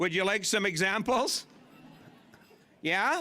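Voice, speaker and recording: Raising and projecting his voice, a man with a Canadian accent speaks at a high pitch in a bright, sharp tone with lively intonation. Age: 60s. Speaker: master of ceremonies and former radio host. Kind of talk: stage comedy storytelling. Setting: stage with audience at a convention. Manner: animated.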